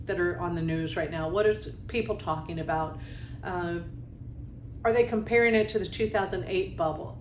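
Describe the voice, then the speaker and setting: Over noticeable background noise and audible room echo, a woman speaks with very wide pitch swings. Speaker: mortgage industry presenter. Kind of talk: webinar tutorial.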